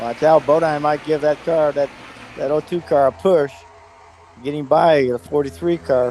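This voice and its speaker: With music in the background, a man at a fairly high pitch speaks at a moderate pace with fairly even intonation and long, frequent pauses. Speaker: retired NASCAR racing champion as guest commentator. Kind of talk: color commentary in a race broadcast. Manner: casual, conversational.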